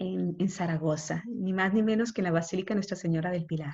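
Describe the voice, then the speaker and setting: A woman talks fairly quickly in a somewhat breathy voice. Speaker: consecrated woman teaching a course. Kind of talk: lecture. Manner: fast. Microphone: unstable connection.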